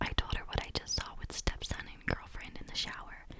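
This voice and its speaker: Noticeable background noise can be heard. Through it, a woman whispers at a moderate pace. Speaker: ASMR content creator. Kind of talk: reddit story narration. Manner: whispered, soft.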